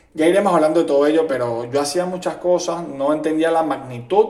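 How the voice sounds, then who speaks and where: Fairly high-pitched male speech with noticeable background noise and audible echo in the room. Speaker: podcast host. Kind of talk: monologue.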